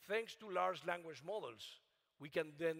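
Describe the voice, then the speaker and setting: A man's fairly high voice with a non-native accent. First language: not English. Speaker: AI researcher. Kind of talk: keynote talk. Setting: conference stage with audience. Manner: halting.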